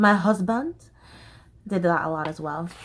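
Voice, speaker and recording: Her tone bright and sharp, a woman with an American accent speaks at a moderate pace and medium pitch with lively intonation. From Southern US, Florida. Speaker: stage actor. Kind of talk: casual talk to camera.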